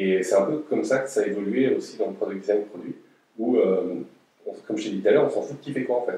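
At a fairly quick pace, a man speaks with long, frequent pauses. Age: 30s. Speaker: head of product design. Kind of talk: interview. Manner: halting, many fillers and repetitions.

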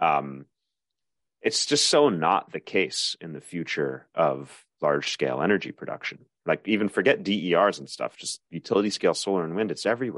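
A man with a fairly low pitch talks at a moderate pace with vocal fry, very wide pitch swings and big swings in loudness, in a dry, close sound with no echo. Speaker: podcast host. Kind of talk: podcast interview.

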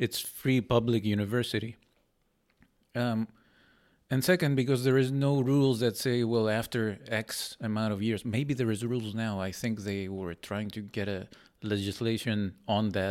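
Heard in a very clean recording with a silent background, a man with a plain, everyday voice speaks at a moderate pace and medium pitch with fairly even intonation. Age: 30s. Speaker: professor. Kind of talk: casual chat.

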